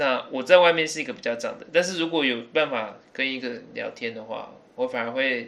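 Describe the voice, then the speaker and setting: This man has an ordinary speaking voice with a medium pitch and ordinary pitch variation. He talks at a fairly quick pace. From Taiwan (early childhood in England). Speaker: podcast guest. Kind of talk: casual chat.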